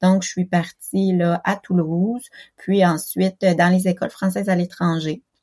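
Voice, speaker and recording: A woman with a dark, mellow tone speaks at a fairly slow pace and medium pitch, somewhat breathy and monotone with flat intonation, her loudness very even in a dry, close sound with no echo. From Quebec. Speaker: special education teacher. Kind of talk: interview testimony. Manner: halting, many hesitations.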